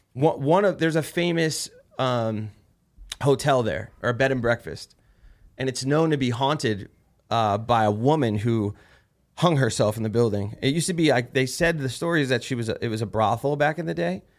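In a very clean recording with a silent background, a man talks with a New Jersey accent. His medium pitch carries lively intonation. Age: 30s. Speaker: war veteran and podcast host. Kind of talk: casual chat.

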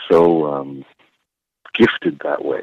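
A man's very deep, low voice with vocal fry and a Canadian accent. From Toronto, Canada. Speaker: university basketball coach. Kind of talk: interview.

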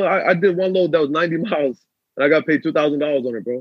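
A man talks at a fairly quick pace in a normal speaking voice with ordinary pitch variation. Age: 20s. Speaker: trucking business owner. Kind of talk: casual interview.

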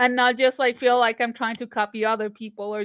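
In a Spanish accent, a woman speaks at a fairly high pitch with monotone, flat intonation. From Colombia, Barranquilla. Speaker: comic artist and animator. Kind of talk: casual interview.

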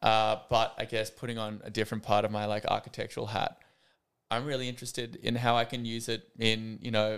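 Delivered at a fairly quick pace in an Australian accent, the speech has a monotone, flat intonation. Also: man, very clean recording, silent background. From Australia, Sydney. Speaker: architect. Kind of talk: casual interview.

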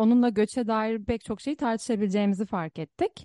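At a moderate pace, a woman speaks with a fairly high pitch and a dark, mellow tone, the sound dry and close with no echo against a quiet background. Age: 20s. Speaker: podcast co-host and academic. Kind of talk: podcast interview.

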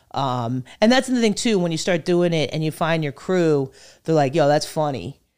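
On a very clean recording with a silent background, a woman with an American accent speaks at a moderate pace. Her pitch is very deep and low, with very wide swings. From northern New Jersey. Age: 40s. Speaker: comedian. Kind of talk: casual chat.

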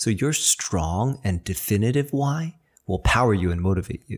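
A man with a plain, everyday voice and an American accent speaks at a fairly low pitch and a fairly slow pace with lively intonation. The recording is very clean, with a silent background. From New York (Chinatown), US. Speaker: podcast host, acupuncturist and physical therapist. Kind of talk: educational monologue. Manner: encouraging, upbeat.

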